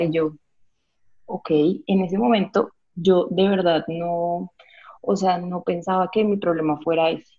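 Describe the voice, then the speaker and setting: A somewhat breathy woman at a fairly slow pace. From Colombia, Villavicencio (Meta). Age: 30s. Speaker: vegan restaurant co-founder. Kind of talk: interview. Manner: animated.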